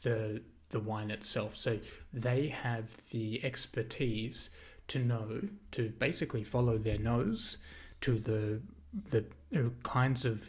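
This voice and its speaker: With an Australian accent, a man speaks at a very slow pace with a medium pitch and a somewhat breathy voice. Long, frequent pauses break up his speech, and audible room echo surrounds it. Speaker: video essayist. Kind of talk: lecture. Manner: halting, many fillers.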